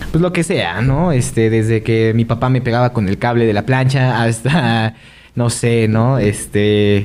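A man with an unremarkable speaking voice talks at a medium pitch, with ordinary pitch variation and very even loudness. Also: fairly slow pace. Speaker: podcast co-host. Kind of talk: casual chat.

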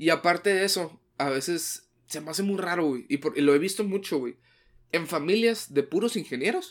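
A man speaks at a moderate pace in a high-pitched voice. His pitch varies in an ordinary way. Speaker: podcast co-host. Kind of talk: casual chat.

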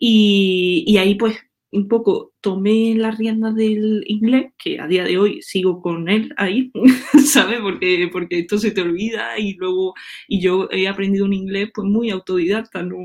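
It's an unremarkable speaking voice with ordinary pitch variation. The pace is fairly slow. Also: woman, medium pitch for a woman. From Andalusia, Córdoba countryside. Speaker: web developer. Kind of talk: casual interview chat.

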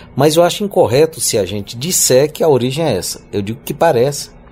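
With lively intonation, a man talks at a moderate pace over noticeable background noise. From Piauí, Brazil (Northeast). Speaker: singer-songwriter and university professor. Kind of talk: interview. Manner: halting, repeats words.

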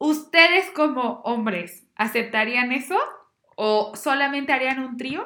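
High-pitched woman's voice, raised and projected, with a bright, sharp tone, lively intonation and a very slow pace. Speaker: podcast guest, bank employee. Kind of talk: casual chat.

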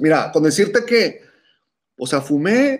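A man speaks in a Mexican accent with a high pitch. His pace is fairly slow, and his pitch swings very widely. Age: 40s. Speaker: musician and cannabis podcaster. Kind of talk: casual chat.

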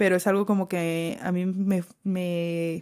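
Woman in a very clean recording, silent background. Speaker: podcast host. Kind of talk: casual chat. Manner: soft-spoken most of the time.

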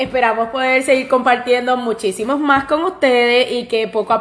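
A woman speaks at a moderate pace. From Puerto Rico. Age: 30s. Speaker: podcast co-host, pastry cook. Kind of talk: casual chat.

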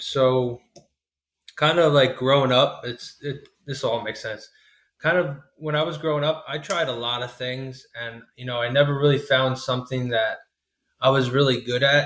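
With a normal speaking voice, a man of medium pitch speaks at a moderate pace and with fairly even intonation. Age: 20s. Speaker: HVAC installer. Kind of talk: casual interview.

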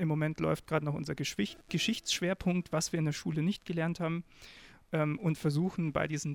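In a very clean recording with a silent background, a man talks at a fairly high pitch with a plain, everyday voice. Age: 20s. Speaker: podcast co-host, student. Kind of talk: casual chat.

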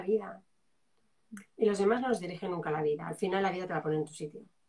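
At a fairly quick pace, a woman talks in a dark, mellow tone with ordinary pitch variation. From Spain, Zaragoza (Aragon). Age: 40s. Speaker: journalist, coach and writer. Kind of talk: live interview.

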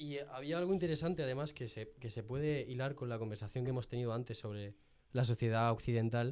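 Dark, mellow male voice at a medium pitch, with ordinary pitch variation. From Jaén, Andalusia, Spain. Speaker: podcast guest. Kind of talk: casual chat. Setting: studio.

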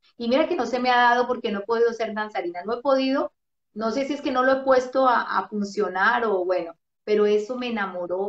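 With ordinary pitch variation, a woman speaks in an ordinary speaking voice. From Colombia, Bogotá. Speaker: radio host and ministry figure. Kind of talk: interview, casual testimony. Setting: video call.

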